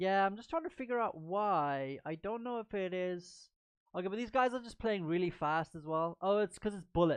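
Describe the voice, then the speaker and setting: A plain, everyday voice speaks at a moderate pace with lively intonation. Loudness swings widely over a quiet background. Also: woman, medium pitch for a woman. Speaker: chess stream commentator. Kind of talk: live commentary. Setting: live stream.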